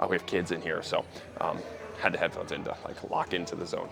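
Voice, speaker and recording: A man speaks at a very fast pace. Music plays in the background. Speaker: strength coach. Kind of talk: casual vlog monologue in gym. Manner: animated; loud.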